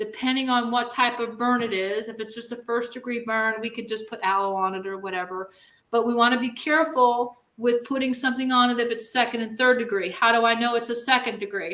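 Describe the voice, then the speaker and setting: A woman speaks in a New York accent at a fairly high pitch with a bright, sharp tone. Her pace is fairly quick and her intonation fairly even. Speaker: first responder. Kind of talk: training demonstration.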